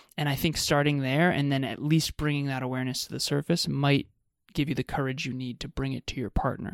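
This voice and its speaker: A man at a fairly high pitch and very fast pace, fairly even intonation, dry, close sound with no echo. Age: 30s. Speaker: podcast host, relationship coach. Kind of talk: casual chat.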